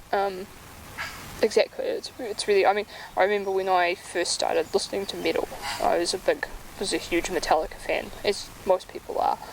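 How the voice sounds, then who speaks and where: A woman talks at a fairly quick pace with a New Zealand accent. Noticeable background noise is present. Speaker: music blogger and author. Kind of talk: interview.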